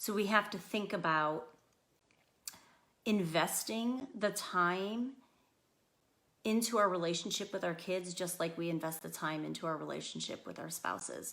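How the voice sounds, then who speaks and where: A loud woman's voice at a medium pitch, with a bright, sharp tone, ordinary pitch variation, a moderate pace, and long, frequent pauses. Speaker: school psychologist. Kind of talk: parenting talk.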